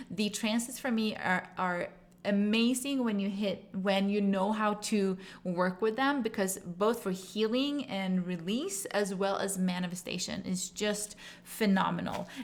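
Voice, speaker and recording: A woman talks at medium pitch and a fairly slow pace. Her intonation is fairly even and her loudness very even. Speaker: tarot and astrology reader. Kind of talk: channeled tarot reading monologue. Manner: halting, many fillers.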